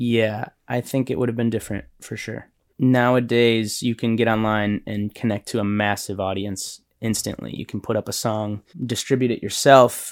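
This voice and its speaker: This man speaks at a moderate pace and a medium pitch, his intonation monotone and flat. The recording is very clean, with a silent background. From Illinois, Chicago area. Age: 30s. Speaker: musician. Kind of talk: interview.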